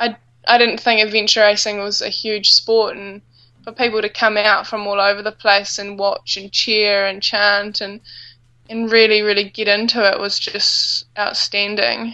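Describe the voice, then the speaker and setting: A woman with a New Zealand accent speaks at a fairly high pitch and a moderate pace. Her intonation is a flat monotone, but her loudness swings widely. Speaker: adventure racer. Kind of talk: casual interview.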